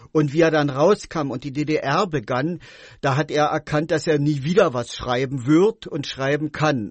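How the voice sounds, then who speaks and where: A man's fairly high voice, fairly slow pace and fairly even intonation. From East Berlin. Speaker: author and contemporary witness. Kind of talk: radio interview. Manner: hesitant, many fillers.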